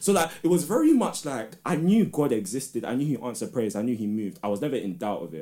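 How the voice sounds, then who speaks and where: A man with a London accent talks at a very fast pace with hardly any pauses. His medium-pitched voice has a dark, mellow tone and very wide pitch swings. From London, England. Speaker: spoken word artist and teacher. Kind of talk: casual chat.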